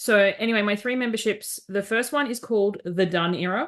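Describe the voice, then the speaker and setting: A woman speaks with an Australian accent at a moderate pace. The background is quiet. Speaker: life coach. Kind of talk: interview conversation. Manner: direct.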